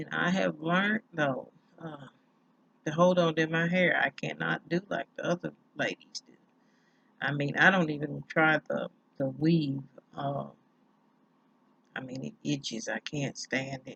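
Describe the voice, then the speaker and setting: At a fairly slow pace with long, frequent pauses, a woman with a very deep, low pitch speaks with vocal fry and big swings in loudness. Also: dry, close sound with no echo. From US South, rural Tennessee. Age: 50s. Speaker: hair vlogger. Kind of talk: casual vlog monologue. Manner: casual, hesitant with many fillers.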